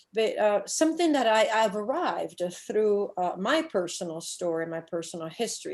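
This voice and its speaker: Lively intonation in an Italian accent, at a moderate pace with hardly any pauses. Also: woman. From Italy. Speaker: scuba diving instructor and shark diver. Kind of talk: conference presentation. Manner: hesitant, with frequent fillers.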